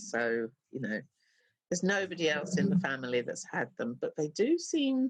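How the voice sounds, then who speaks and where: Using vocal fry, a woman talks at a moderate pace in a fairly low voice with very wide pitch swings. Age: 60s. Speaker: self-published novelist. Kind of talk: casual chat. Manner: halting.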